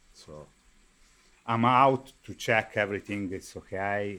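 The speaker has an Italian accent and a fairly slow pace. The recording is very clean, with a silent background. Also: man. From Viareggio, Tuscany, Italy. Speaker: carnival artisan. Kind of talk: interview.

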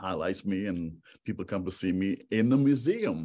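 With a normal speaking voice pitched somewhat low, a man talks with normal pitch movement. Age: 50s. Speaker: photographer. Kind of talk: interview.

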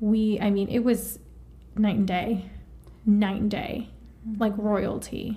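A woman speaks at a medium pitch and a fairly slow pace, with long, frequent pauses. Her intonation is flat and monotone, and the room echo is audible. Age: 30s. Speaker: IVF patient sharing experience. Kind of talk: casual chat.

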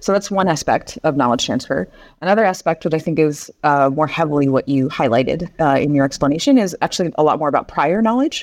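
A woman with a Pacific Northwest accent speaks at a very fast pace with hardly any pauses, her very deep, low pitch carried by lively intonation and very even loudness against a quiet background. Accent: Pacific Northwest American. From US Northwest, Seattle. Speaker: education and curriculum expert. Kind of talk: interview. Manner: halting, many fillers.

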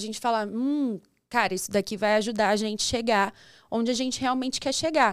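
In a normal speaking voice, a woman talks at a moderate pace with a fairly high pitch and ordinary pitch variation, recorded very cleanly against a silent background. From interior of São Paulo state, Brazil (São Roque). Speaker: banking open finance coordinator. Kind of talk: casual interview chat.

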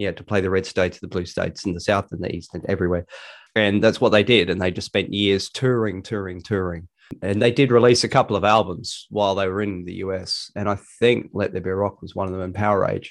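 Over a quiet background, a man with a fairly low voice speaks at a very fast pace and fairly even intonation. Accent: Australian. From Australia. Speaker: podcast co-host. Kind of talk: casual chat.

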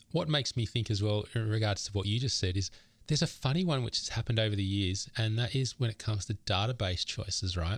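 A very fast, somewhat breathy man's voice of fairly low pitch and ordinary pitch variation, on a very clean recording with a silent background. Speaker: podcast co-host, software founder. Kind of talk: casual chat.

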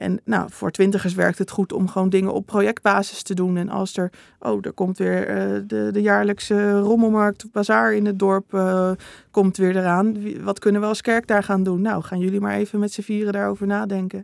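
A woman's medium-pitched voice at a moderate pace, monotone and flat, dry and close with no echo, on a very clean recording with a silent background. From Netherlands, Utrecht province (Bible Belt village). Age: 20s. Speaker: theology student and author. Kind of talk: interview.

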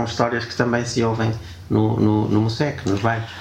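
A man talks at medium pitch with monotone, flat intonation. Audible room echo and noticeable background noise surround his voice. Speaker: podcast host. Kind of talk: casual chat. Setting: guest's home.

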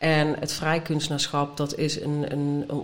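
With audible room echo, a woman speaks at a moderate pace in a very deep, low voice with monotone, flat intonation. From Brabant, Netherlands. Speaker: artist and art teacher. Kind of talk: casual interview. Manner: halting, many fillers.

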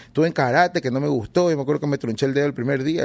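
A man talks very fast at medium pitch. His pitch varies in an ordinary way. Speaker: hip hop artist. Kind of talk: casual interview.

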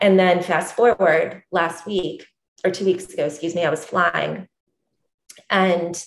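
Speaking at a fairly slow pace with an American accent, a woman uses a fairly low pitch and fairly even intonation. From US South, Columbus, Georgia. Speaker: entrepreneur and former teacher. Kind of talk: interview.

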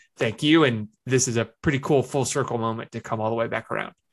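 A man with a normal speaking voice talks at a fairly quick pace, his pitch medium and his intonation fairly even. The recording is very clean, with a silent background. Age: 20s. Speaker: podcast host, newsletter writer. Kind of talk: interview.

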